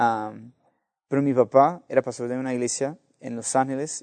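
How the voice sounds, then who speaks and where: A man speaks with an American accent at a moderate pace. His intonation stays fairly even over a quiet background. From US (Los Angeles). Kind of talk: interview testimony. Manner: halting, many repetitions and fillers.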